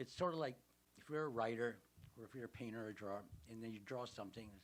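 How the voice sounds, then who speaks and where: A man with an American accent talks at a very fast pace, his pitch medium with ordinary variation. His loudness swings widely. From Los Angeles, US. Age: 70s. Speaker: artist. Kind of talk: interview.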